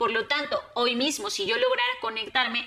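Lively intonation carries the speech while music plays in the background. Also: woman. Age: 30s. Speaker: conference speaker. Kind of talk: public talk.

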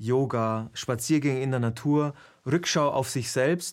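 A man talks at a very slow pace with a fairly high pitch. The recording is very clean, the background silent. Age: 50s. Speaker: video interviewer and presenter. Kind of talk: interview conversation.

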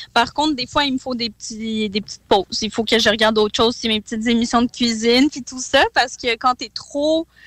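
A woman with an ordinary speaking voice, fairly high in pitch, talks at a fairly quick pace with hardly any pauses and fairly even intonation, in a dry, close sound with no echo. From Quebec. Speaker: MMA fighter. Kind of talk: radio interview.

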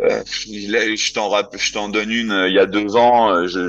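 The voice belongs to a man and sits fairly low. Fairly even intonation runs through his speech. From France, Lyon area. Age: 30s. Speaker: football coach. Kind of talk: casual interview. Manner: halting, many fillers and repetitions.

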